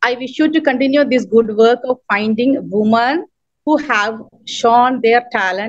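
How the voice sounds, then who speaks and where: A woman with a Keralan accent talks at a fairly slow pace, her fairly high pitch showing ordinary variation. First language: Malayalam. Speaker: poet and writer, award recipient. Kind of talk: acceptance speech. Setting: video call. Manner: halting.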